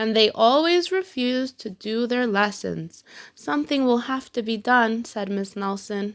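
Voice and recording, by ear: Natural-voiced reading aloud with ordinary variation in pitch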